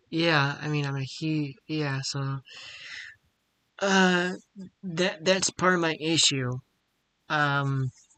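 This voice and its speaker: Someone with an American accent speaks at a very slow pace, leaving long, frequent pauses. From Ohio, Akron area. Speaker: interview guest, gamer. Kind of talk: casual interview chat. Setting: video call live stream. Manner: halting, stammering.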